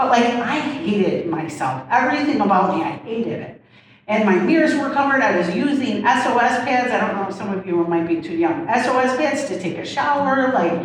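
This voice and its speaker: A woman's fairly high, lively voice at a fairly quick pace, with audible room echo and noticeable background noise. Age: 50s. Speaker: recovery specialist sharing personal story. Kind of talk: personal testimony in interview. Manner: fast; candid, humorous.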